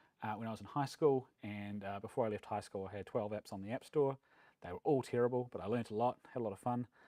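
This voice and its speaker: At a very fast pace, a man with a New Zealand accent speaks in a dark, mellow tone at medium pitch with fairly even intonation, the sound dry and close with no echo. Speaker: software developer, meetup speaker. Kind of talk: conference talk. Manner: casual, frequent fillers.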